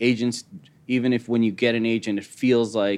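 A man with an American accent and an ordinary speaking voice, medium in pitch, at a moderate pace with fairly even intonation, over a quiet background. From US Midwest, Chicago. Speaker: writer and film director. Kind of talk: casual interview. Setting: studio.

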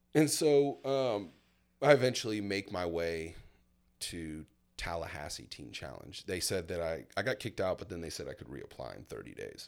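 Speaking at a moderate pace with an American accent, a man with a fairly low voice and vocal fry makes very wide pitch swings and big swings in loudness. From US South, Florida panhandle (Milton, near Pensacola). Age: 30s. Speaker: churchgoer sharing faith testimony. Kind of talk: personal testimony.

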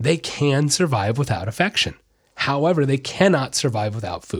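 In a very clean recording with a silent background, a man speaks at a fairly quick pace in an animated tone. His voice is fairly high, with ordinary pitch variation. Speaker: podcast host, animal behavior specialist. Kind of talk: casual monologue. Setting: studio.

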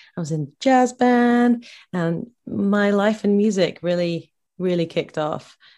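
A dark, mellow voice with a southern English accent, a fairly slow pace and ordinary pitch variation over a quiet background. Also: woman, medium pitch for a woman. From England, Bedford, Bedfordshire. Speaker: singer-songwriter. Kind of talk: casual interview.

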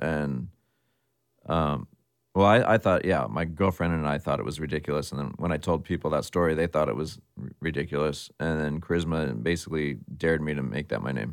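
Very deep and low, this man's voice has vocal fry and moves at a very fast pace. The recording is very clean and the background silent. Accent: Californian. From US West Coast, San Jose, California. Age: 40s. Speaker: hip-hop DJ and record label owner. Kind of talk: casual interview chat.

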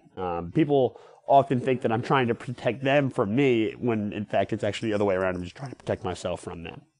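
A man at a very fast pace with hardly any pauses, ordinary pitch variation and big swings in loudness. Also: medium pitch for a man. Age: 20s. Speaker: athlete with cystic fibrosis and patient advocate. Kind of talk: interview. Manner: halting, frequent fillers.

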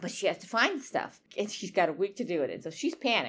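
Very fast, a woman's speech rushes along. Her pitch swings very widely. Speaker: podcast co-host, writer. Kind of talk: casual chat. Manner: loud when excited.

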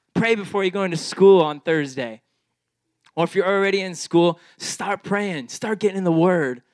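A man's high voice at a moderate pace, with ordinary pitch variation and a dry, close sound free of echo. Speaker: youth pastor. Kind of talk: fired-up youth sermon, exhorting students with rallying calls. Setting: room with live youth audience. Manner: animated, pumped-up and hype; repetitive, stumbling restarts while building fervor.

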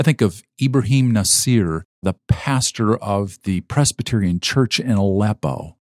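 A man's unremarkable speaking voice, fairly low and fairly slow, with hardly any pauses and a dry, close sound with no echo. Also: ordinary pitch variation. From US Midwest (Minnesota), later Arizona. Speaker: pastor and nonprofit fundraising director. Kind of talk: interview.

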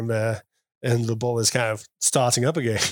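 A man speaks at a medium pitch with a British accent. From UK. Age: 40s. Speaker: guest in cuckold marriage. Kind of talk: interview. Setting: in person.

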